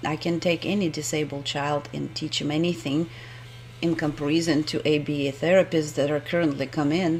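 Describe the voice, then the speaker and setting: Noticeable background noise sits behind a woman with a very deep, low pitch. She talks at a moderate pace with fairly even intonation. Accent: non-native. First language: not English. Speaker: homeowner presenting a video blog. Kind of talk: screen-recorded presentation. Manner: halting, with hesitations.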